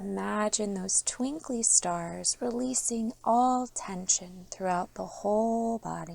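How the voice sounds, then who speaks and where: A woman speaks very slowly at a fairly high pitch. The recording is very clean, with a silent background. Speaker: meditation guide. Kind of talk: guided sleep meditation. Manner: soft-spoken, slow.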